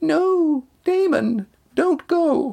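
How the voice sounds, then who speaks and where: Someone puts on a shrill, squeaky character voice at a high pitch. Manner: screaming, desperate.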